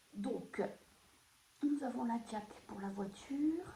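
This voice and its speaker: Soft-spoken and very slow, a woman talks with ordinary pitch variation amid audible room echo. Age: 50s. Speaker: budgeting vlogger. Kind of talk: casual budget tutorial. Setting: at home, early morning. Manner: soft-spoken, quiet; hesitant, many fillers.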